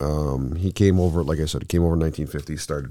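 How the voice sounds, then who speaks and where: A man's very deep, low voice at a fairly quick pace, in a very clean recording with a silent background. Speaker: podcast co-host. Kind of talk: casual chat. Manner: animated, casual.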